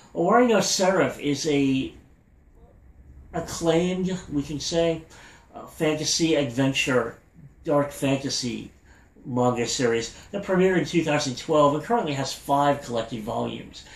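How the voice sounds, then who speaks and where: Using a plain, everyday voice, a man talks at a fairly high pitch with ordinary pitch variation. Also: moderate pace. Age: 40s. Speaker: anime podcast host. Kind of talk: podcast news update.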